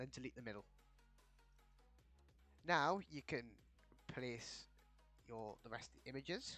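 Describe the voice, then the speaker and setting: Over music in the background, a man speaks at a fairly slow pace with lively intonation, big swings in loudness and long, frequent pauses. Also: medium pitch for a man. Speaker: game tutorial creator. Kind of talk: video game tutorial narration. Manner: casual.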